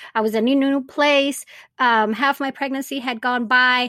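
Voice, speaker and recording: A woman speaks with a Spanish accent in a high pitch, her tone bright and sharp. Her intonation is fairly even, and the recording is very clean with a silent background. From Venezuela. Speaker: birth doula and podcast host. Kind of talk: interview, telling her birth story.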